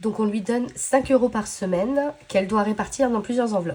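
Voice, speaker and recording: Lively intonation from a woman at a moderate speed. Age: 30s. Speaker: budgeting vlogger. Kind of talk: casual vlog chat. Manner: hesitant, many fillers.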